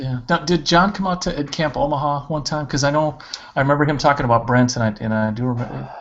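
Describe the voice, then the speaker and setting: A man at a fairly high pitch and a very fast pace, with ordinary pitch variation and noticeable background noise. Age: 40s. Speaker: school principal. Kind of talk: casual interview on a video podcast.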